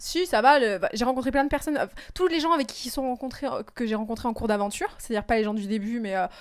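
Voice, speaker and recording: A woman's high-pitched voice at a very fast pace. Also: lively intonation. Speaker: reality TV contestant. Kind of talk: interview. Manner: hesitant, many fillers.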